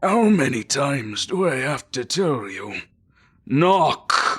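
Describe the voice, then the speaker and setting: A man puts on a character voice, pitched fairly high and delivered very slowly. The recording is very clean, with a silent background. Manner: scolding, stern.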